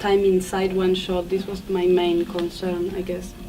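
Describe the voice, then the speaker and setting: Music plays in the background and room echo is audible as a woman with a Spanish accent speaks at a very slow pace. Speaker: film director. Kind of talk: festival Q&A. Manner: halting.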